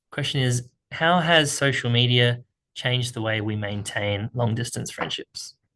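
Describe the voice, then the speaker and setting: At a moderate pace, a man with an Australian accent talks in a medium pitch against a quiet background. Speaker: speaking coach. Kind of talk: tutorial. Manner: casual, conversational.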